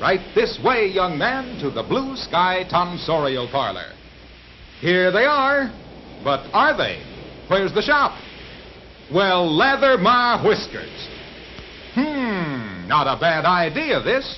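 This man talks at a very slow pace in a high pitch, with very wide pitch swings and long, frequent pauses. Noticeable background noise is present. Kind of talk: vintage newsreel narration. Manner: playful, jokey.

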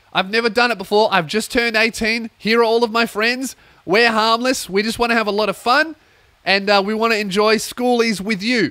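A high-pitched man with an Australian accent in a raised, projected voice, bright and sharp in tone, with fairly even intonation, in a dry recording with no echo and a quiet background. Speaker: comedian and podcast host; comedian, podcast host. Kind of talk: casual comedic monologue. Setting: warehouse recording space. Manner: loud, ranting. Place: home room. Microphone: studio mic.

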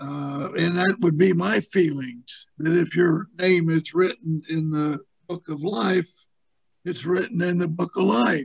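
A high-pitched man at a fairly slow pace, with ordinary pitch variation and a quiet background. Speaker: Bible study participant. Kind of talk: group discussion. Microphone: video call.

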